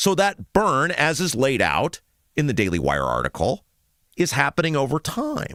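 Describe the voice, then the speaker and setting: A man with an American accent speaks at a moderate pace, and the sound is dry and close with no echo. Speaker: talk show host. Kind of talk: political talk radio monologue.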